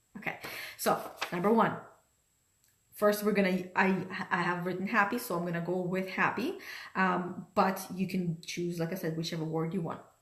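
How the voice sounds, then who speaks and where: Speaking at a moderate pace with long, frequent pauses, a woman keeps a monotone, flat intonation in a room with audible echo. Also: medium pitch for a woman. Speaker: life coach. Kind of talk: motivational talk. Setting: livestream from home dining room.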